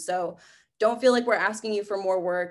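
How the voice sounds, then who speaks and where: In a quiet background, this woman talks with ordinary pitch variation. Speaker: environmental campaign organizer. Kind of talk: online training presentation.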